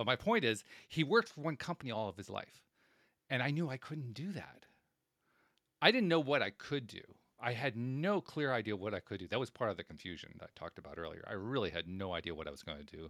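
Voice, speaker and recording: On a very clean recording with a silent background, a man with an American accent speaks very fast at a medium pitch, with vocal fry, very wide pitch swings and big swings in loudness. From upstate New York, Schenectady. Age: 60s. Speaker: podcast host. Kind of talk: interview conversation. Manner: halting, repeats words.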